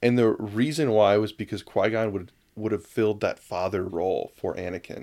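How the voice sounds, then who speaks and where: A man speaks in an ordinary speaking voice at a moderate pace, fairly low in pitch with ordinary pitch variation. The recording is very clean with a silent background. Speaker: podcast host. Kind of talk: casual chat.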